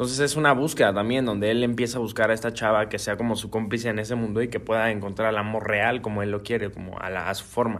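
Very fast speech from a man, medium-pitched and fairly even in intonation. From Guadalajara, Mexico. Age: young. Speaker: singer-songwriter. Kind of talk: interview.

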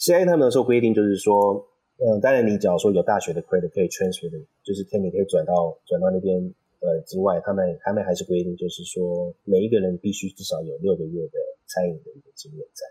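Pitched fairly low, this man's voice has a dark, mellow tone and ordinary pitch variation. He speaks at a very fast pace, with big swings in loudness. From Taipei, Taiwan, then San Jose, California from about age 10. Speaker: chef and restaurant founder. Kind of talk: interview.

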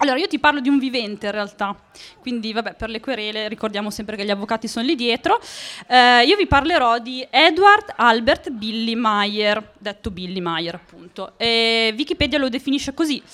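Her tone bright and sharp, a woman speaks at a moderate pace with a fairly high pitch and lively intonation. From northern Italy, Emilia (Monticelli). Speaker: podcast host. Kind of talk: live storytelling to audience. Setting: stage with audience. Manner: animated.

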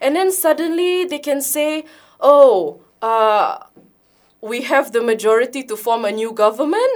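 A woman's high voice in a Sabahan accent, very wide pitch swings, on a very clean recording with a silent background. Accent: Malaysian (Sabahan) English. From Sabah, Malaysia (Kota Kinabalu). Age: 20s. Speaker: youth activist. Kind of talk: radio talk show interview. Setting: radio studio. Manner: earnest, lightly hesitant with ums.

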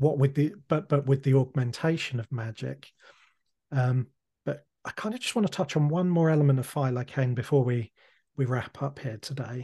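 Against a quiet background, a man with a fairly high pitch sounds somewhat breathy, his tone dark and mellow. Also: ordinary pitch variation, moderate pace. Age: 30s. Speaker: podcast host. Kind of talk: interview.

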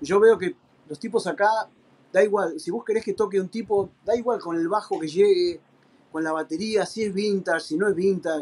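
A high-pitched man with an Argentine accent and ordinary pitch variation. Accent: Rioplatense Argentine Spanish. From Argentina. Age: 50s. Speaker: professional drummer. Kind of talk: casual interview chat.

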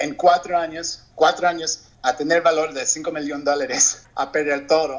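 Over noticeable background noise, a man with a fairly high pitch talks at a moderate pace in a monotone, flat way with hardly any pauses. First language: English (speaking Spanish). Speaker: entrepreneur. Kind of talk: interview testimony. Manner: halting, with repetitions.

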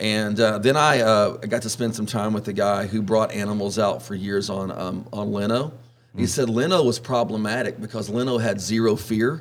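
Someone with a Texan accent talks at a moderate pace with hardly any pauses and fairly even intonation. Noticeable background noise runs underneath. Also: man, fairly low pitch for a man. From Southeast Texas (Orange). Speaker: wildlife expert and magazine editor. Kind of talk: casual interview.

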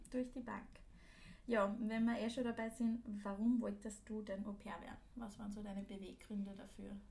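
Fairly high-pitched and somewhat breathy, a woman with a dark, mellow tone speaks at a moderate pace in flat, monotone intonation amid audible room echo. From Austria, Linz. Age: 20s. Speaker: podcast host, former au pair, student. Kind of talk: casual chat.

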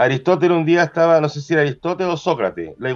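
With a Chilean accent, a man speaks at a fairly high pitch and with ordinary pitch variation. Noticeable background noise is audible. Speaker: podcast co-host, butcher shop owner. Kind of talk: casual chat.

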